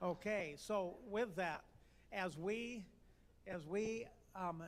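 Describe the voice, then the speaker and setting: A man with a high voice, ordinary pitch variation and a very slow pace. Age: 70s. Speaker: memorial service emcee. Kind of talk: eulogy remarks. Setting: memorial service. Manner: halting.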